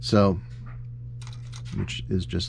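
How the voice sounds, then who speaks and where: A man with a dark, mellow tone and a somewhat breathy voice talks at a fairly slow pace. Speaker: scale model builder, hobby channel host. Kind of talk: tutorial. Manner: casual with frequent fillers.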